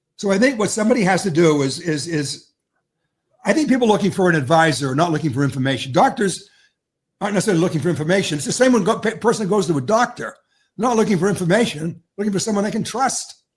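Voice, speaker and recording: Lively intonation marks a man's very fast speech. His pitch is high. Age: 70s. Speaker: veteran investment communicator. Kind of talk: podcast interview.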